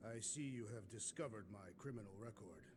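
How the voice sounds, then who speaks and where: Over loud background noise, a man rattles along at a very fast pace in a put-on character voice of medium pitch. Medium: video game. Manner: formal, literal, no contractions.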